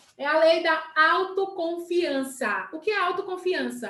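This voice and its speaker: The woman speaks with lively intonation. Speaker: sales team leader. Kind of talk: live stream talk. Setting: live video stream.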